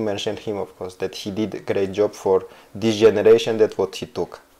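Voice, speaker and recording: A man talks at a moderate pace with a Georgian accent. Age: 30s. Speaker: footballer. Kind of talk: interview. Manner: halting.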